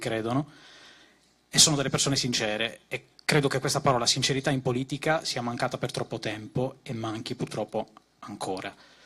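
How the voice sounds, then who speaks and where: Fairly even intonation and a medium pitch mark this man's speech. He has an unremarkable speaking voice and keeps a fairly quick pace. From Sardinia. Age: 30s. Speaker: political activist, graphic designer. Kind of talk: political rally speech. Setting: stage with audience.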